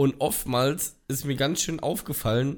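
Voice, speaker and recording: A man with a fairly high pitch talks with vocal fry. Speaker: podcast host. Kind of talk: casual chat.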